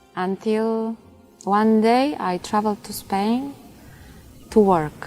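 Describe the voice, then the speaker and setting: Music plays in the background as a woman with a Polish accent talks at a very slow pace. Her pitch is fairly high, with ordinary variation. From Poland. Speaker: convert to Islam, student of religious knowledge. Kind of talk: personal testimony. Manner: halting, with frequent fillers.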